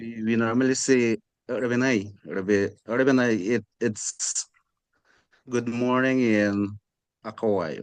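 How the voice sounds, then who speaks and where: This speaker has a Guyanese accent and fairly even intonation, with long, frequent pauses. The sound is dry and close, with no echo. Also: man, medium pitch for a man. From Guyana, Amerindian community. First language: Akawaio. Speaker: class discussion participant. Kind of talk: group discussion. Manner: halting.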